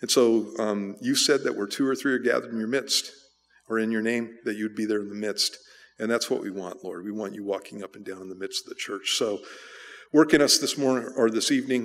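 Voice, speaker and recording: His pitch shows ordinary variation. The man moves through his words at a fairly quick pace. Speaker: pastor. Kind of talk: sermon. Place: church. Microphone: podium.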